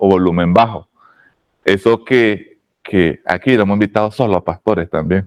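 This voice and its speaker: The voice moves at a moderate pace with ordinary pitch variation. The background is quiet, and the sound is dry and close with no echo. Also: man. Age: 40s. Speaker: oratory teacher. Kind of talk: lecture. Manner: lowered volume.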